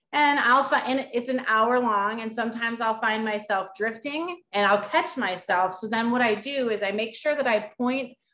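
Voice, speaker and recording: A woman speaks loudly at a moderate pace with hardly any pauses. Her fairly high voice shows ordinary pitch variation. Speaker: peer support worker. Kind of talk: webinar presentation. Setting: virtual summit session.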